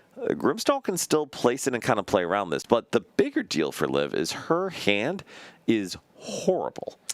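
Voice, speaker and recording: Recorded with a dry, close sound and no echo, a man is speaking. His pace is moderate. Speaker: card game commentator. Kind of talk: live commentary.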